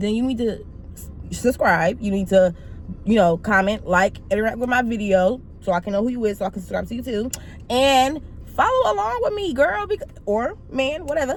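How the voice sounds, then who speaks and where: Against noticeable background noise, a woman talks in an animated tone at a fairly high pitch. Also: ordinary pitch variation, moderate pace. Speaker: YouTuber. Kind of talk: casual vlog talk to camera. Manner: loud.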